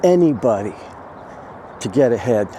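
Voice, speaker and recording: A man speaks at a fairly slow pace with lively intonation and a relaxed tone. Noticeable background noise runs beneath his voice. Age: 60s. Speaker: vlogger. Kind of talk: casual monologue vlog. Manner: relaxed, hesitant with fillers.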